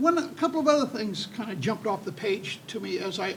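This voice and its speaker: Over noticeable background noise, a man talks at a very fast pace in a high pitch with lively intonation. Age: 70s. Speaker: state legislator. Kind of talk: panel discussion.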